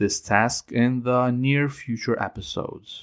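A man talks with a Ukrainian accent. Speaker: Bible teacher podcaster. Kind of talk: scripted Bible teaching. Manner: measured, formal.

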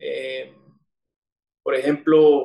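This man's voice sits at a fairly high pitch. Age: 30s. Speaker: recovering alcoholic sharing his story. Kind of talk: testimony. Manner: halting, many fillers and repetitions.

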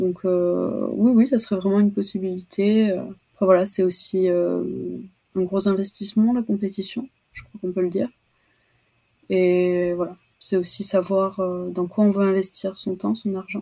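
A woman's ordinary speaking voice at medium pitch, fairly slow, with fairly even intonation. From French Basque Country, Anglet. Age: 20s. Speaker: student and competitive longboard surfer. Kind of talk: casual interview.

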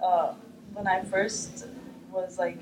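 With noticeable noise in the background, a woman talks at a medium pitch. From Middle East. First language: Arabic. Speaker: artist. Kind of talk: interview. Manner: hesitant, many fillers.

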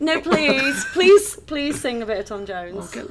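Speaking very slowly with a British accent, a woman uses a high pitch and very wide pitch swings over noticeable background noise. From Liverpool, England. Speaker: podcast guest.

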